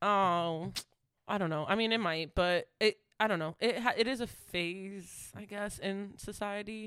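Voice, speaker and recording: Speaking at a fairly slow pace, a woman has an unremarkable speaking voice, a medium pitch and fairly even intonation. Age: 20s. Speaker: podcast co-host. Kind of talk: casual chat.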